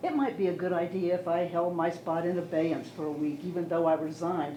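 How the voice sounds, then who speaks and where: A female speaker is heard with audible room echo and noticeable background noise. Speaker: member of the public at a town meeting. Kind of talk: public comment at a town meeting. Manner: loud and boisterous; animated, halting with restarts.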